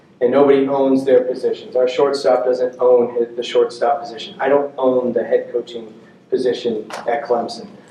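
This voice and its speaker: Fairly even intonation at a moderate pace, over noticeable background noise. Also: man, medium pitch for a man. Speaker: college baseball head coach. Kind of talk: coaching clinic talk. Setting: stage with audience.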